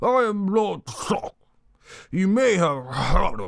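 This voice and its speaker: A man uses a put-on character voice, pitched high and delivered at a fairly slow pace. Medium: read story. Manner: pompous, blustering.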